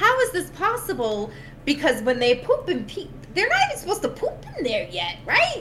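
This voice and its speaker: A woman speaks at a moderate pace in an extremely high pitch that swings very widely. Noticeable noise fills the background. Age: 30s. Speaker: podcast host and NICU mom. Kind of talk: personal testimony in casual chat. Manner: animated.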